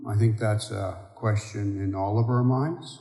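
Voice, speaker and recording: Somewhat breathy and dark, mellow in tone, a man speaks at a very slow pace and medium pitch with fairly even intonation. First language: Michif and Bushland Cree. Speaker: Métis elder.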